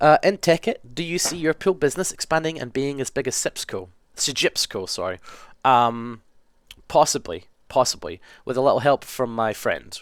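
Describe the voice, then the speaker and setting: In a Scottish accent, a man with a fairly high pitch talks at a moderate pace with very wide pitch swings, on a very clean recording with a silent background and a dry, close sound with no echo. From west coast of Scotland. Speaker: gaming video creator. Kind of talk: casual Q&A monologue. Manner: casual, hesitant with ums.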